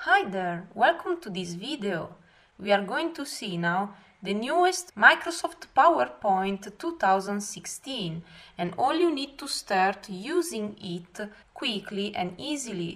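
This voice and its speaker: A woman's medium-pitched voice with a non-native accent, fairly slow, with very wide pitch swings and big swings in loudness. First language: not English. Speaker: software tutorial teacher. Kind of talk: software tutorial narration.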